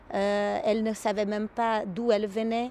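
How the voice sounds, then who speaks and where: A woman with a Portuguese accent speaks at a fairly slow pace. Her voice is fairly high in pitch with a dark, mellow tone. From Brazil. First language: Portuguese (speaking French). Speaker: psychoanalyst. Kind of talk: interview. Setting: therapist's office. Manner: halting.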